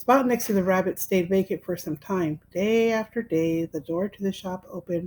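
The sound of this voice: Ordinary pitch variation across an unforced reading voice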